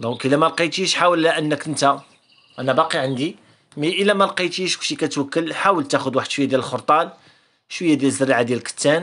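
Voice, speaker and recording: Bright and sharp in tone, a man talks at a very fast pace with fairly high pitch and ordinary pitch variation. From Morocco. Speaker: canary breeder and video creator; video creator. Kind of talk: tutorial. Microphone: phone near.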